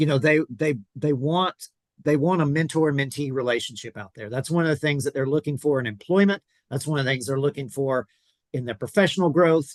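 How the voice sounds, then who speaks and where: Against a quiet background, a man with a Southern US accent talks fairly quickly at a fairly high pitch with ordinary pitch variation, in a dry, close sound with no echo. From US South (South Georgia). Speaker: podcast host, pastor. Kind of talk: interview podcast.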